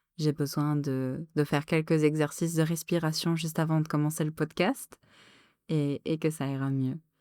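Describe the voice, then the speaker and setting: Calm and soothing, a woman speaks at a very deep, low pitch and a fairly slow pace with monotone, flat intonation. The recording is very clean with a silent background, and the sound is dry and close, with no echo. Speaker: podcast host and streamer. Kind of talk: solo podcast monologue. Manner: calm, deliberately soothing tone; halting, many filler hesitations.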